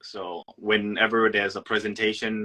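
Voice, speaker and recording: A man's fairly low voice has a bright, sharp tone and a dry, close sound with no echo. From Thailand. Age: 20s. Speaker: actor. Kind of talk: casual chat.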